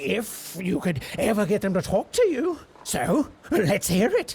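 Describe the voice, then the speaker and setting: A put-on character voice with a theatrical tone, at a fairly slow pace. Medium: video game. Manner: excitable, theatrical, gleeful.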